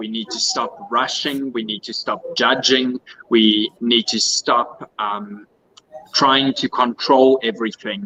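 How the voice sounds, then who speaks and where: A man with a South African accent at a fairly slow pace, ordinary pitch variation, and a dry, close sound with no echo. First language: Afrikaans. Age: 30s. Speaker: pageant contestant. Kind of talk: interview.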